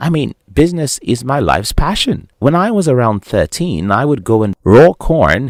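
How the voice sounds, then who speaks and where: A man speaks at a moderate pace with vocal fry and very wide pitch swings. The sound is dry and close with no echo, on a very clean recording with a silent background. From Nigeria. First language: Nigerian language, not English. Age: 30s. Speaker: motivational speaker. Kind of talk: monologue to camera.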